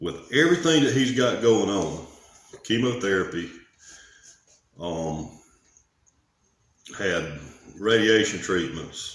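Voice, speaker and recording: In a room with audible echo, a man speaks with a Southern US accent at a very slow pace, with long, frequent pauses. His fairly low voice swings very widely in pitch. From US South. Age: 40s. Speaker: vlogger. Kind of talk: personal vlog monologue. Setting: garage. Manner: casual.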